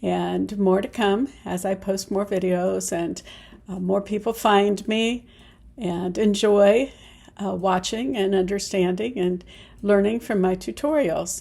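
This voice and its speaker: In a relaxed, dark and mellow tone, a woman of medium pitch speaks at a fairly slow pace. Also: ordinary pitch variation. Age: 70s. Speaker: sewing and upcycling YouTuber. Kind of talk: casual vlog talk to camera. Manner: relaxed, hesitant with many fillers.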